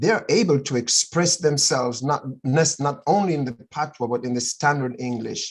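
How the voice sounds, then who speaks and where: In a Jamaican accent, a man talks at a moderate pace with hardly any pauses. His voice is fairly high and somewhat breathy, with ordinary pitch variation. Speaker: friend in casual chat. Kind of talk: casual chat. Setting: video call.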